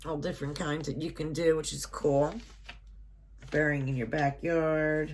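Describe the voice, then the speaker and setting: A woman's very deep, low voice, monotone and flat, at a fairly slow pace with long, frequent pauses and audible room echo. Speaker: unboxing YouTuber and shop owner. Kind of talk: product unboxing review.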